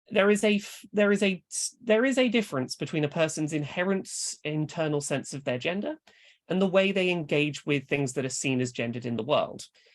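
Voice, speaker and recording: A woman's fairly low-pitched voice at a moderate pace, with very wide pitch swings, against a quiet background. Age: adult. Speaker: author and speaker. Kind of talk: lecture. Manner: halting, self-correcting.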